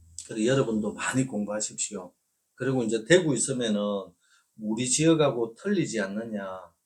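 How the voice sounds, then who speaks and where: Speaking fairly quickly, a man uses a medium pitch with ordinary pitch variation. He talks in a Gyeongsang accent. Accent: Korean regional dialect (Gyeongsang). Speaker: real estate agent. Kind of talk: informal video lecture. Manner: hesitant with filler sounds.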